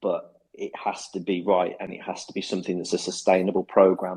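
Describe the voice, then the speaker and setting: At a moderate pace, a man speaks in a monotone, flat way, his very deep, low pitch carrying a dark, mellow tone. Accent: Birmingham. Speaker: football club head of football. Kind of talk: interview. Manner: hesitant, many fillers and repetitions.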